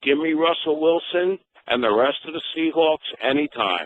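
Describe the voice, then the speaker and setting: This man has a normal speaking voice with a fairly high pitch. His pitch variation is ordinary. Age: 60s. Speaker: caller. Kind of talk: call-in radio comment.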